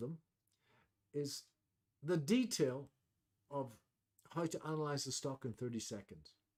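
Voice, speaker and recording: A man speaks at a moderate pace with long, frequent pauses and big swings in loudness. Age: 60s. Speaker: trading educator. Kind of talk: webinar presentation. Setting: online webcast. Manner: hesitant, many fillers.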